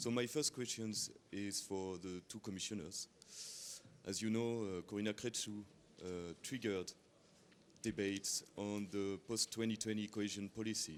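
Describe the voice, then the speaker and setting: A man with a strong French accent talks at a moderate pace with long, frequent pauses. His pitch is fairly low and his intonation fairly even. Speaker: journalist. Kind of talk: press conference question. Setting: press conference. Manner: halting.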